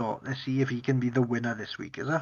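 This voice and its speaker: In a Welsh accent, a man with a medium pitch talks at a moderate pace. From Wales. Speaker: podcast host. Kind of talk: casual chat.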